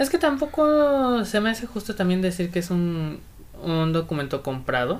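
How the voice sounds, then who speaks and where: With very wide pitch swings, a woman speaks at a moderate pace in a medium-pitched voice. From Acapulco, Mexico. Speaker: guest. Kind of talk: casual chat.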